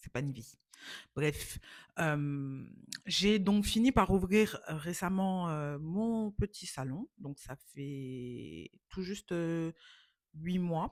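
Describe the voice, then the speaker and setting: A woman with a fairly low pitch speaks very slowly, with long, frequent pauses, lively intonation and big swings in loudness. The recording is very clean with a silent background and a dry, close sound with no echo. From West Africa (Ghana, Côte d'Ivoire), then France from age 11. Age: 30s. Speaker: vlogger, beautician and model. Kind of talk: casual vlog introduction. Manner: hesitant, many fillers (euh).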